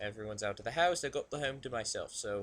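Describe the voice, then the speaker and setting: This voice has a British accent and ordinary pitch variation. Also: man. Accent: put-on British accent (self-described as bad). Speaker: video blogger reading submissions. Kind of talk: casual solo recording. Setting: home alone at computer. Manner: halting, filler-heavy.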